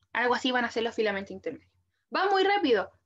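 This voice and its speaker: Her pitch high, a woman speaks with very wide swings up and down. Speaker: biology tutor. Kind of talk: lecture. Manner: fast; casual.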